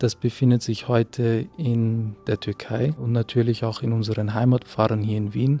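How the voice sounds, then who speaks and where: With hardly any pauses, a man talks at a moderate pace in a dark, mellow tone, medium pitch, and fairly even intonation. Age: 20s. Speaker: theology student. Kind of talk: interview monologue, explanatory. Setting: inside a church.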